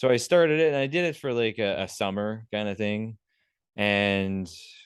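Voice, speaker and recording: With a Canadian accent, a man talks at a moderate pace in a normal speaking voice, his fairly low pitch moving with lively intonation against a quiet background. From Canada, Prince Edward Island. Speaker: vegan animal activist. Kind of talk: podcast interview answer.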